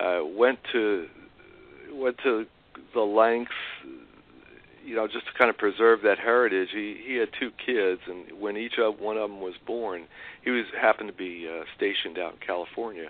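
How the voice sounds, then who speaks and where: In a New York accent, the speaker takes long, frequent pauses, and the loudness swings widely. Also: man, fairly low pitch for a man, ordinary pitch variation, moderate pace. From New York City. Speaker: co-author of a memoir. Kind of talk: interview. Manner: halting, many fillers and repeats.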